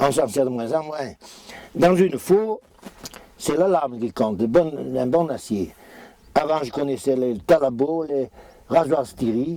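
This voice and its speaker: With lively intonation, a man speaks fairly high at a very slow pace, leaving long, frequent pauses. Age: 70s. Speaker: farmer. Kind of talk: interview. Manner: halting.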